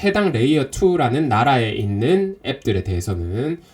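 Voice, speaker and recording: A somewhat breathy male voice at a moderate pace, with very wide pitch swings. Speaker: crypto investing instructor. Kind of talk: online lecture. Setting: Zoom live stream.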